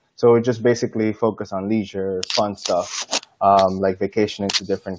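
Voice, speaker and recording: Flat, monotone delivery from a man with a fairly low pitch, at a moderate pace amid noticeable background noise. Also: dry sound with no echo. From Dominican Republic. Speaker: airline vacations business development manager. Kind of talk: online interview. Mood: relaxed, friendly. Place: home room. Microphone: earbuds.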